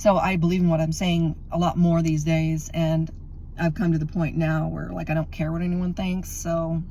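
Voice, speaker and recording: A woman speaks with a fairly low pitch and monotone, flat intonation. Audible room echo surrounds her voice. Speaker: religious video blogger. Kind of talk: casual monologue. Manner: fast.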